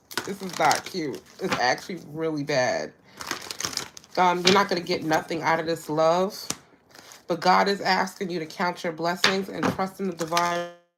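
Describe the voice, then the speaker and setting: The pace of speech is moderate. Noticeable background noise is present. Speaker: tarot reader. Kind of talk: live tarot reading. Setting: livestream with chat. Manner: casual, repetitive.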